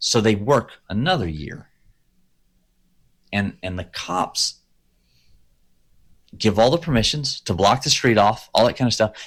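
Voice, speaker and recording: Speaking at a fairly slow pace, a man uses lively intonation and a medium pitch. He leaves long, frequent pauses. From Texas, Crosby. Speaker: podcast co-host. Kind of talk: casual chat. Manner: animated.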